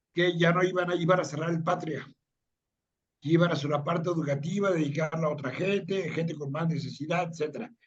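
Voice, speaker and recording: With audible room echo, a man talks at a fairly quick pace in a high pitch. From Mexico City. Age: 60s. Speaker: tech industry veteran. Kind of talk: interview. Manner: fast.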